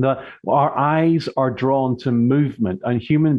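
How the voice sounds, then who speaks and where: Speaking at a fairly slow pace in a British accent, the voice shows ordinary pitch variation. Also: man. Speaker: body language expert and author. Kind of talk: radio interview.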